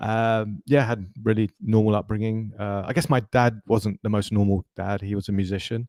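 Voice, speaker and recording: Fairly low in pitch, a man with an American accent talks at a moderate pace with hardly any pauses. His intonation stays fairly even, and the sound is dry and close with no echo. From London, England. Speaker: tech entrepreneur. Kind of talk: interview.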